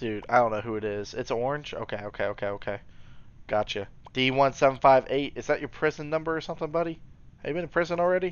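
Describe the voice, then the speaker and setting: A man's medium-pitched voice, very fast and with lively intonation, in a dry sound with no echo. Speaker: gaming commentator. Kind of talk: gameplay commentary. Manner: animated; occasional mispronunciations. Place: home room.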